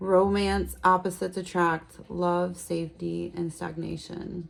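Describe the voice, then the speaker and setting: A woman speaks softly. Her pace is fairly slow. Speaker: tarot reader. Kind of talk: tarot reading. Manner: soft-spoken; relaxed.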